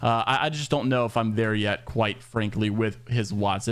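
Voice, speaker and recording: A man talks very quickly, his voice sitting at a medium pitch. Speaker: esports news youtuber. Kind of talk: casual news commentary. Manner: fast; animated.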